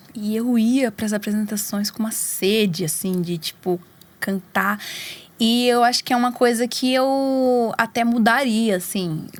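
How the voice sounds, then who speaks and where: A woman with a fairly high voice speaks at a fairly slow pace, using ordinary pitch variation. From Brazil, São Paulo metro area. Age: 20s. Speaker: singer. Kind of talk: interview. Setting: studio.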